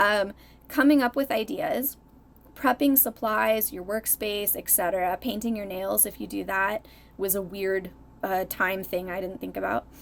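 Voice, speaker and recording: A soft-spoken woman mumbles at a moderate pace. Her voice is medium in pitch, with ordinary pitch variation. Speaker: art YouTuber. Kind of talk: tutorial. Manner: mumbling.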